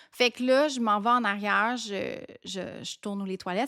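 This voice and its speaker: A woman speaks with ordinary pitch variation. The recording is very clean and silent behind her, with a dry, close sound and no echo. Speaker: podcast host. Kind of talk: casual storytelling podcast.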